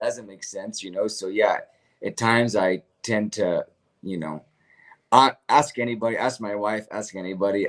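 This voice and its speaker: A man with a plain, everyday voice and fairly low pitch talks at a moderate pace with fairly even intonation and big swings in loudness, in a very clean recording with a silent background. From United States. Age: 30s. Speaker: missionary. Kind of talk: casual chat.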